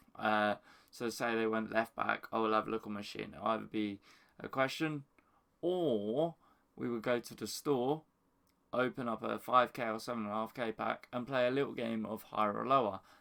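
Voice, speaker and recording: A man speaks quietly at a medium pitch and a moderate pace, with ordinary pitch variation. The recording is very clean with a silent background. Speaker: FIFA gaming YouTuber. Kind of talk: casual explanation to camera. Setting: at home early morning, others asleep. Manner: quiet, hushed.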